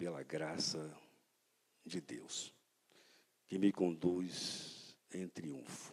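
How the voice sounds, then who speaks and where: This man speaks in a warm tone. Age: 70s. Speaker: pastor. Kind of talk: sermon. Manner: warm, conversational.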